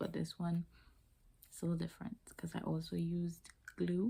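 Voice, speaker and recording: A soft-spoken woman talks at a moderate pace. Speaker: beauty vlogger. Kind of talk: casual hair tutorial vlog. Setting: at home late at night. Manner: hushed, soft-spoken.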